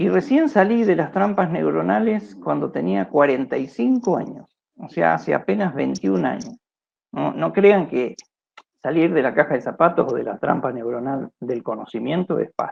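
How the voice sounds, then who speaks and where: A man speaks at a moderate pace with vocal fry. His fairly high pitch makes very wide swings. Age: 60s. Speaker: philosophy researcher, lecturer. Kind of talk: lecture. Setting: video call. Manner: halting.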